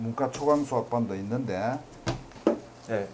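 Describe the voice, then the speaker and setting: Speaking at a fairly slow pace and medium pitch, a man is heard with audible room echo and noticeable background noise. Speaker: math tutor. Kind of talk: lecture.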